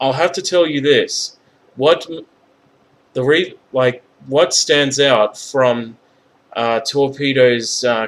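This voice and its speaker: Speaking at a very slow pace, a man with a medium-pitched voice has a slight Australian accent. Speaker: video narrator discussing a character.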